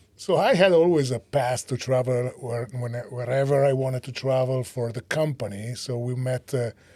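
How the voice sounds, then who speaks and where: A man's dark, mellow voice at a moderate pace with hardly any pauses. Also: medium pitch for a man, fairly even intonation. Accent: Italian. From Italy. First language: Italian. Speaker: startup co-founder and CEO. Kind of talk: podcast interview.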